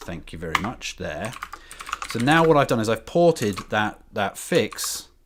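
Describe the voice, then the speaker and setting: Background noise is noticeable throughout. Over it, a man talks at a fairly slow pace. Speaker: software developer live streamer. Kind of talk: live coding stream.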